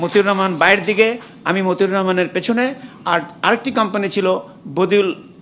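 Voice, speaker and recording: Over light background noise, the speaker's loudness swings widely while the intonation stays fairly even. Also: man. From Bangladesh. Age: 70s. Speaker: retired army general, war veteran. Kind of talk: commemorative speech. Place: hall. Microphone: podium.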